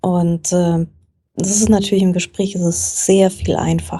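The tone is dark and mellow, somewhat breathy. Delivery comes at a fairly slow pace. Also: woman. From Frankfurt, Germany. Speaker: journalist and book podcaster. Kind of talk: casual interview chat.

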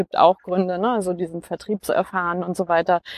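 A woman at medium pitch, fairly quick and monotone with flat intonation, in a dry, close recording with no echo. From Franconia, Germany (near Nuremberg). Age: 40s. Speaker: podcast guest. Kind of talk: casual conversation. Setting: outdoors, walking in a park. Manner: many filler sounds (äh).

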